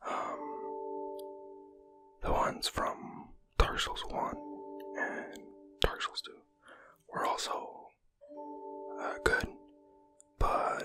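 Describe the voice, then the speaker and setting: Whispering at a very slow pace, the voice is heard with music in the background. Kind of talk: ASMR casual gaming talk. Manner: whispered.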